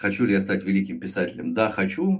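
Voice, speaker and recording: This man's voice carries vocal fry. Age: 50s. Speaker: sales executive and author. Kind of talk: interview.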